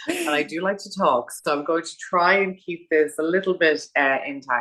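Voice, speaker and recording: With an Irish accent, the speaker moves at a moderate pace in a bright, sharp tone with big swings in loudness. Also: woman, fairly low pitch for a woman, ordinary pitch variation. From Ireland, Dublin. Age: 40s. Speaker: funeral planner and celebrant. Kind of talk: podcast interview.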